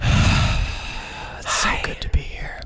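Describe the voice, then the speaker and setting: The speaker uses a put-on character voice. It comes out breathy and whispering. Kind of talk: smooth, polished broadcast tone.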